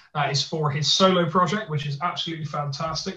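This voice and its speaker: A man talks in a Bristolian accent with a fairly high pitch. His tone is bright and sharp, and his intonation fairly even. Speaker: podcast co-host.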